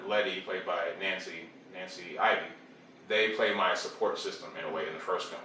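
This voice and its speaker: There's noticeable background noise along with audible room echo. The voice belongs to a man. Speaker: film director and actor. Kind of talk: interview. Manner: slurs words together.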